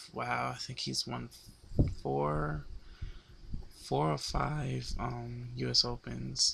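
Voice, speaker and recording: Here a man speaks in a very deep, low voice with a bright, sharp tone. His pitch swings very widely. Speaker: tennis vlogger. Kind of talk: sports analysis monologue. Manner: halting.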